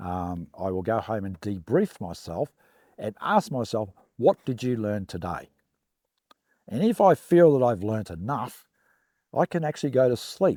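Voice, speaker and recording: Speaking at a fairly slow pace with long, frequent pauses, a man with a dark, mellow tone and very wide pitch swings is heard in a dry, close sound with no echo on a very clean recording with a silent background. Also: medium pitch for a man. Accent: Australian. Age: 60s. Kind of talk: interview testimony. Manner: hesitant, many fillers.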